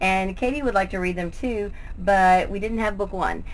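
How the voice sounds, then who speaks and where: A woman speaks at a moderate pace, with light background noise behind her. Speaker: book vlogger. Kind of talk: casual vlog chat. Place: home room. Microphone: webcam.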